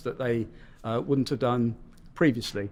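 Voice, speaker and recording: This man speaks with a British accent and fairly even intonation. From United Kingdom. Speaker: rail customer experience executive. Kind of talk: podcast interview.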